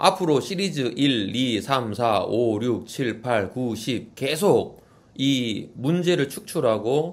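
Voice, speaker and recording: A man with a medium pitch talks at a very slow pace with hardly any pauses. His intonation is lively. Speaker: insurance exam tutor. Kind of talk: exam question walkthrough; outro to viewers. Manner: reading aloud methodically.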